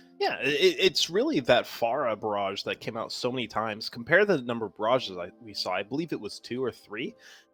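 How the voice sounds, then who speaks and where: A man's medium-pitched voice over music in the background, fairly quick with hardly any pauses, lively intonation, and big swings in loudness. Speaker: esports caster. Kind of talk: live commentary. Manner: animated; stuttering.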